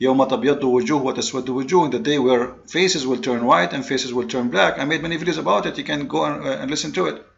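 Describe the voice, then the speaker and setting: With vocal fry, a man talks at a fairly high pitch. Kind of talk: polemical commentary monologue. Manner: fast; halting, with repeated fillers.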